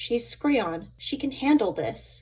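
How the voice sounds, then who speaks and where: A woman speaks in a put-on character voice. Her pitch is high. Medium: read story. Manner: blunt, challenging.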